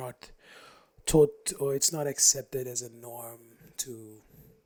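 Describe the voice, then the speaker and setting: A soft-spoken man at a medium pitch and a fairly slow pace. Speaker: podcaster. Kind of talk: casual solo talk.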